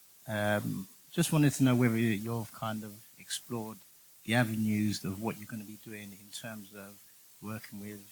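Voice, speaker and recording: A man with an English accent speaks fairly low at a moderate pace, his intonation fairly even but his loudness swinging widely. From England. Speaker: audience member. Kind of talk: audience question.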